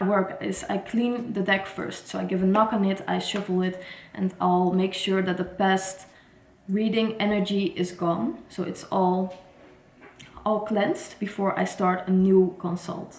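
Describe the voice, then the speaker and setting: Noticeable background noise sits behind a woman who talks fairly slowly. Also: medium pitch for a woman, fairly even intonation. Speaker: tarot reader. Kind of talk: casual vlog talk. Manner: halting, some false starts.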